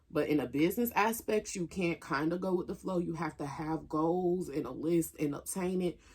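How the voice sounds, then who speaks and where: With an Atlanta accent, a woman talks at a moderate pace, her fairly low pitch showing ordinary variation. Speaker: YouTuber. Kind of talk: casual mukbang vlog talk. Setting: at home, camera propped up.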